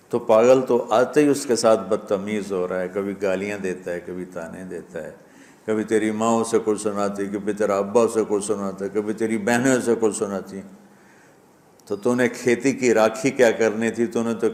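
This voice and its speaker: A man with a normal speaking voice talks at a fairly low pitch, his loudness swinging widely while his intonation stays fairly even. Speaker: Islamic preacher giving a sermon. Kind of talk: emotional religious sermon (bayan).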